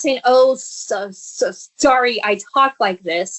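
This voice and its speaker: Very slow speech from a woman, fairly high in pitch, with ordinary pitch movement. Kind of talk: interview. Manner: halting, with repeated sounds.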